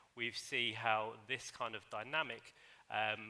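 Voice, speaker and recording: A man talks with a British accent. His tone is bright and sharp. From UK. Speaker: academic panelist. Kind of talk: panel discussion.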